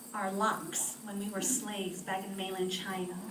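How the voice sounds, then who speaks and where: A woman speaks with an American accent. Noticeable background noise and audible room echo surround her. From France, near Paris, then US from age five. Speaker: cultural storyteller. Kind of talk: public talk to library audience. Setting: library event with live audience.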